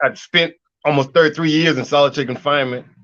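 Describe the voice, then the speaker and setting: This man's pitch is fairly high. He talks very fast. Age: 60s. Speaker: political prisoner. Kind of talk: interview.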